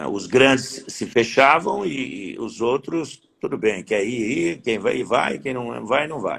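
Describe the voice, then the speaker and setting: A man with a medium pitch speaks at a very slow pace. His voice has vocal fry and very wide pitch swings. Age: 60s. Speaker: horse breeders' association president. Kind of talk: interview.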